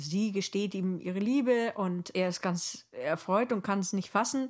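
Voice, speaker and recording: In a very clean recording with a silent background, a woman uses a normal speaking voice at medium pitch, a moderate pace and ordinary pitch variation. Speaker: journalist and podcast co-host. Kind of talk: casual conversation with co-host.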